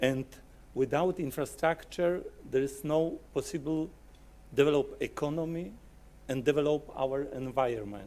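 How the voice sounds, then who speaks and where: A man with a Polish accent and a fairly high pitch speaks in a dark, mellow tone at a moderate pace, with ordinary pitch variation and long, frequent pauses. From Poland. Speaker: software company client service manager. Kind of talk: conference presentation. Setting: conference hall with audience.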